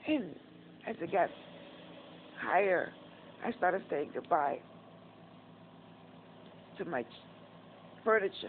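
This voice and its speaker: A woman with a New York accent speaks very slowly in a fairly low pitch, her intonation lively. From Northeast Bronx, New York. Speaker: vlogger. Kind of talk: casual talk to camera, personal story. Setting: hospital / rehab.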